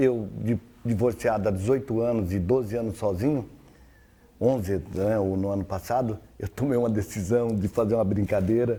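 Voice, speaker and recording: Fairly low in pitch with a dark, mellow tone, a man talks at a moderate pace with fairly even intonation. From Syria. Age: 60s. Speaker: social media influencer on relationships. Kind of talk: TV interview.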